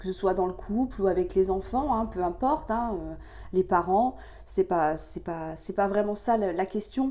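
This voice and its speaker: A woman speaks fairly slowly in a medium pitch with ordinary variation. Her tone is dark and mellow, with vocal fry. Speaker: tarot card reader. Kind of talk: tarot reading for viewers. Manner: hesitant, many fillers.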